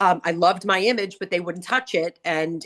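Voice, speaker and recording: Recorded with a dry, close sound and no echo, a woman speaks with a Long Island accent and ordinary pitch variation. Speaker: hairdresser and salon owner, author. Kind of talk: casual chat. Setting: studio.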